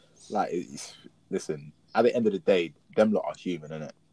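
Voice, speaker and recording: This man has a London accent. He talks at a fairly quick pace. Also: dry, close sound with no echo. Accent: London Multicultural English. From South London. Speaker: podcast guest. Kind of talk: casual chat.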